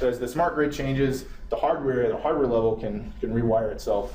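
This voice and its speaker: Over noticeable background noise and audible room echo, a fairly high-pitched man talks at a very fast pace. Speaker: engineer presenting a technical talk. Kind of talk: lecture.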